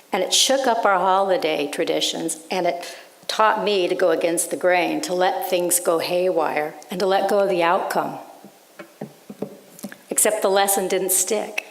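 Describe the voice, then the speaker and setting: A woman's medium-pitched voice at a moderate pace, with fairly even intonation, over noticeable background noise. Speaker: writer. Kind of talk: sermon.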